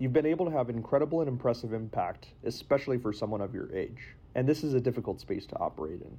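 Somewhat breathy, a man speaks at a medium pitch with a dark, mellow tone. His pace is very fast. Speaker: student podcast interviewer. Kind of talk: interview; scripted intro.

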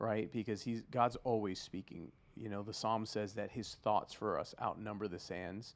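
A man with a plain, everyday voice talks at a moderate pace with hardly any pauses, fairly even intonation and a fairly low pitch. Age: 40s. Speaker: podcast co-host, pastor. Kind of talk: casual chat.

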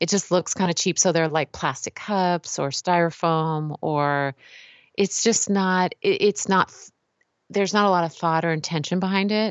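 A woman with an American accent has a normal speaking voice, pitched fairly low. She keeps a moderate pace and fairly even intonation. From California. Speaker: author and healthcare design expert. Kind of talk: casual interview.

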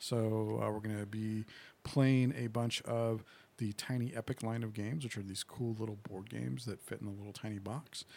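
Soft-spoken and fairly low in pitch, a man talks at a moderate pace with a dark, mellow tone. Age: 40s. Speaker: gaming convention organizer. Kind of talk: casual chat. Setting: studio.

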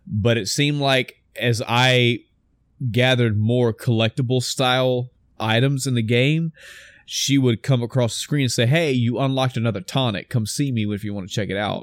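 A man with an American accent talks at a moderate pace in an unremarkable speaking voice, medium in pitch with fairly even intonation, the sound dry and close with no echo on a very clean recording with a silent background. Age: middle-aged. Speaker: gaming podcast co-host. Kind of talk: casual chat.

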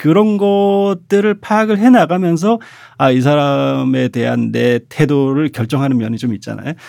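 With very wide pitch swings, a man speaks fairly slowly at a fairly high pitch. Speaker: comic artist and author. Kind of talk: casual podcast interview. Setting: studio.

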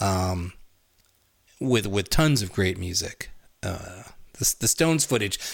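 Over a silent background in a very clean recording, a man with a fairly low, somewhat breathy voice talks at a very slow pace, with lively intonation and long, frequent pauses. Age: 50s. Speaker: podcast co-host. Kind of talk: casual chat.

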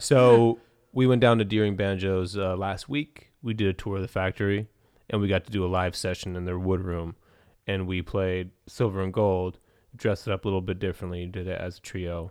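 Against a quiet background, a man with an American accent and a very deep, low pitch talks at a fairly quick pace with fairly even intonation. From California, Central Valley. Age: 30s. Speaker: drummer. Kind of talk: casual chat.

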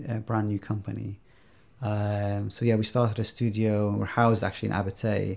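In a very clean recording with a silent background, a somewhat breathy man speaks at a fairly low pitch and fairly quick pace, his intonation monotone and flat. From Iraq. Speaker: video game designer and developer. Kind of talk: interview.

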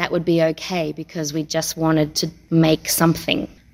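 The speaker has an Australian accent. The pace is moderate. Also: woman. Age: 30s. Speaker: circus performer. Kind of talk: interview.

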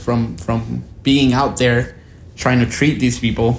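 With a Spanish accent, a man of medium pitch speaks at a fairly slow pace in a somewhat breathy voice. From Guatemala. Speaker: podcast guest, researcher. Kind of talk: casual interview chat.

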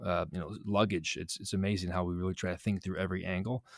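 Recorded very cleanly against a silent background, a man with an American accent speaks at a very deep, low pitch in a dry, close sound with no echo. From Chicago south suburbs, US Midwest. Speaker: real estate development executive. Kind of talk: interview. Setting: studio. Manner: animated.

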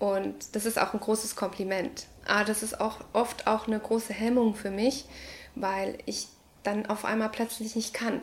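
Speaking fairly slowly, a woman keeps a fairly high pitch in a monotone, flat delivery. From Ecuador. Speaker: early childhood educator and artist. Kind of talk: interview monologue. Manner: hesitant, many fillers.

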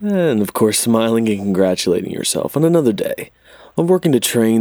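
A man speaks in a soothing, gentle tone. His voice is dark and mellow. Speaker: meditation guide. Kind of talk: guided meditation. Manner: slow, soothing, gentle pacing with long pauses; calm, soft-spoken.

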